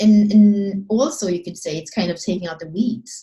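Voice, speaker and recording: Somewhat breathy, a woman speaks at medium pitch with a dark, mellow tone. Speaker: astrology and human design teacher. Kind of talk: solo video talk. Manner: fast; halting, many restarts.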